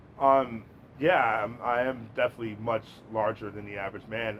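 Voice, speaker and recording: Noticeable noise fills the background. Over it, a man's voice holds a medium pitch. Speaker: podcast host. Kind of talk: podcast interview. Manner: loud.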